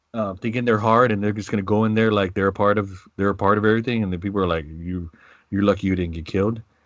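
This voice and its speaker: Very fast speech with fairly even intonation, in an American accent, against a quiet background. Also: man, fairly low pitch for a man. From San Antonio, Texas (South Side). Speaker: podcast co-host. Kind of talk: casual chat.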